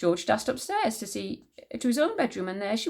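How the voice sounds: Natural reading voice.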